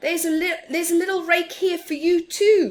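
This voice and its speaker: Putting on a squeaky character voice, a woman speaks at an extremely high pitch with fairly even intonation and a fairly quick pace. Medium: read story. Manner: grumbling.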